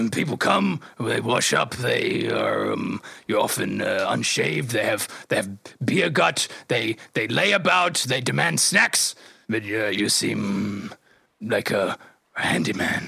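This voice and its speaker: A man talks in a raspy, put-on character voice at medium pitch. His pace is very slow. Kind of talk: comic improv character. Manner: chatty, friendly, casual.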